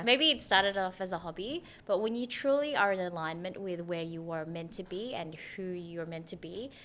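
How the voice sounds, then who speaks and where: This woman speaks in an Australian accent at a moderate pace and medium pitch, her intonation lively and her loudness swinging widely, on a very clean recording with a silent background. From Philippines, raised in Australia. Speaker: PR professional. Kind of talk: interview answer.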